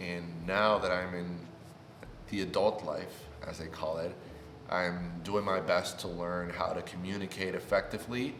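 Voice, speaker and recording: With a Spanish accent, a man talks at a fairly slow pace in a very deep, low pitch. His intonation is fairly even, and room echo is audible. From Puerto Rico. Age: 20s. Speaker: YouTuber. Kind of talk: casual vlog introduction.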